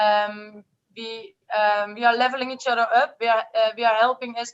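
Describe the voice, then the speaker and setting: A Dutch accent with fairly even intonation at a moderate pace. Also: woman. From Netherlands. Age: 20s. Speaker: network marketer. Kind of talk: testimony. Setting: video call.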